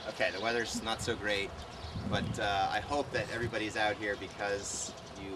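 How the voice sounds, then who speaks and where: A man with an American accent, fairly low in pitch and fairly quick in pace, his intonation fairly even, over noticeable background noise. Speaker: frisbee coach. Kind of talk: instructional talk to camp participants. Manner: fast.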